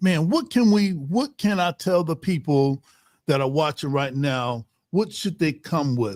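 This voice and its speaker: In a plain, everyday voice, a man speaks fairly slowly at a fairly high pitch with lively intonation, the sound dry and close with no echo and the recording very clean against a silent background. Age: 60s. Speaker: podcast host. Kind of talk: casual interview. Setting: studio.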